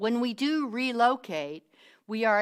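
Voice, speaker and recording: Speaking at a fairly slow pace with a strong Southern US accent, a woman comes through on a very clean recording with a silent background. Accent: deep Southern US. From US South. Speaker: minister. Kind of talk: sermon.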